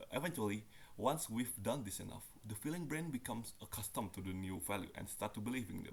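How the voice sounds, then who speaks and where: This man speaks at a medium pitch. His pitch swings very widely. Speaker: university student. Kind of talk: reading a nonfiction book aloud. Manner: halting, stumbles on some words.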